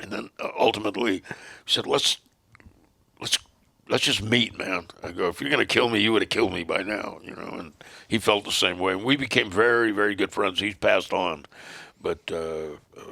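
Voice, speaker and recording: Using a bright, sharp, fairly low voice, a man talks at a moderate pace with ordinary pitch variation, big swings in loudness, and long, frequent pauses. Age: 70s. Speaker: former motorcycle club president. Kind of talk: casual chat.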